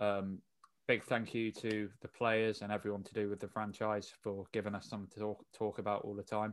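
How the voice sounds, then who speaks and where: A man's fairly low voice with a British accent, flat and monotone at a moderate pace, on a very clean recording with a silent background. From UK. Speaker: basketball podcast host. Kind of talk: casual chat.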